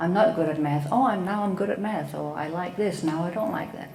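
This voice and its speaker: A woman with a Danish accent, fairly low in pitch, at a moderate pace with ordinary pitch variation, amid audible room echo and noticeable background noise. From Denmark. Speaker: psychotherapist. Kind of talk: talk to an audience. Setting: event talk with audience.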